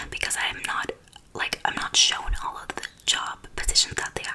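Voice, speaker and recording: A woman's whisper is heard through noticeable background noise. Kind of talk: ASMR get-ready-with-me whispering and life update. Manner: whispered, soft-spoken.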